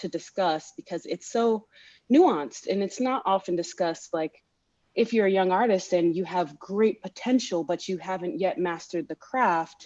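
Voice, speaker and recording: A woman talks at a moderate pace in a normal speaking voice. Her pitch is medium, with ordinary variation. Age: 20s. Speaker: opera singer. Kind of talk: panel discussion.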